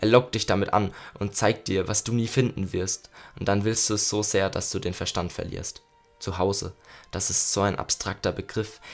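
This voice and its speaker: Against music in the background, the voice is intense and angry, at a moderate pace with fairly even intonation. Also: man, fairly low pitch for a man. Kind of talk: poetry slam, spoken-word performance of a written poem. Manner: intense and rhythmic, building from hushed, melancholy lines to angry, urgent bursts; reflective, with pauses and repeated refrains.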